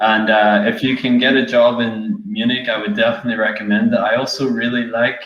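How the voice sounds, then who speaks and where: A man talks at a moderate pace with an Irish accent. His pitch varies in an ordinary way, and the room echo is audible. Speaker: software developer. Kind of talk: casual chat.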